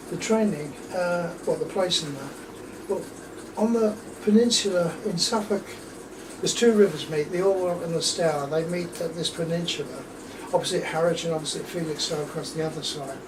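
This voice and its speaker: Against noticeable background noise and audible room echo, a man speaks with a high pitch. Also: ordinary pitch variation, moderate pace. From southern England (Luton, then London). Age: 70s. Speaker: war veteran. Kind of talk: oral history interview.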